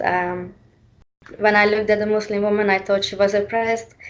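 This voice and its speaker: A woman speaks with a Hungarian accent at a fairly quick pace. Her medium-pitched voice has monotone, flat intonation. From Hungary. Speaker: panel speaker. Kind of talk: panel talk. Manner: halting, many fillers.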